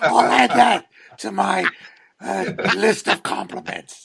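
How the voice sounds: A man speaks slowly at a high pitch, with fairly even intonation, a slightly husky edge and vocal fry.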